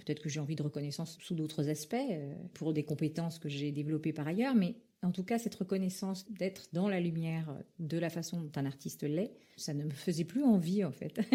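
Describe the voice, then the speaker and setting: Somewhat breathy and fairly low-pitched, a woman speaks at a fairly quick pace with a dark, mellow tone and ordinary pitch variation. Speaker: former actress, voice-over artist, public speaking coach. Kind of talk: interview answer. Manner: hesitant, conversational.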